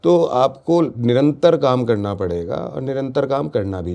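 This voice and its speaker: Lively in intonation, a man speaks at a medium pitch with a dark, mellow tone. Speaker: local business association leader. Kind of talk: podcast interview. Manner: animated.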